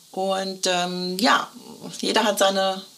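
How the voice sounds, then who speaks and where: Background noise is noticeable here. A woman talks at a medium pitch. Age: 50s. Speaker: custom shirt consultant. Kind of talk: casual interview chat. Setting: in person, same room as host. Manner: cheerful, laughing.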